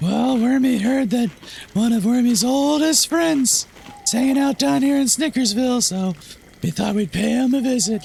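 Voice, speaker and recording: A man uses a put-on character voice pitched extremely high. Clear background noise can be heard. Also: moderate pace. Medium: machinima. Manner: friendly, refers to itself in third person.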